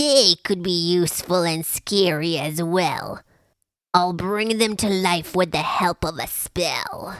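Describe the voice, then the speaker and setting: In a put-on character voice, a female-sounding speaker talks fairly slowly at a medium pitch, sounding shrill. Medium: read story. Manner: bossy, snappish.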